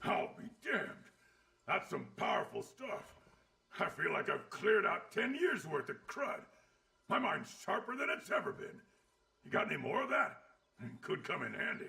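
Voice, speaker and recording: A man uses a put-on character voice, pitched high, at a moderate pace. He leaves long, frequent pauses. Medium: video game. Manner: gruff, coarse.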